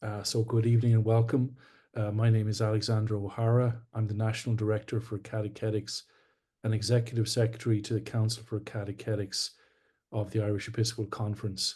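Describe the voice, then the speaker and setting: Against a quiet background, a man with a Scottish accent talks at a very fast pace and medium pitch, his tone dark, mellow and somewhat breathy and his intonation monotone and flat. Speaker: webinar host, church official. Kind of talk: formal introduction. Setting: online webinar.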